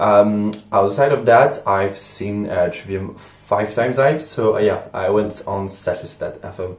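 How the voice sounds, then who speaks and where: Fairly low-pitched male speech with a French accent and ordinary pitch variation, amid noticeable background noise and audible room echo. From France. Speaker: music reaction youtuber. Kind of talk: casual vlog monologue. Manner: hesitant, many fillers.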